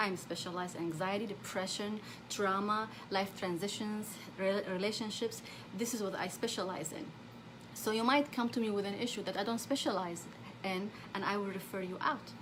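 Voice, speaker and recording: In an Arabic accent, a woman talks at a fairly quick pace and medium pitch with ordinary pitch variation, and audible room echo surrounds her voice. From Saudi Arabia. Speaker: therapist. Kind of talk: live stream talk. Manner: halting.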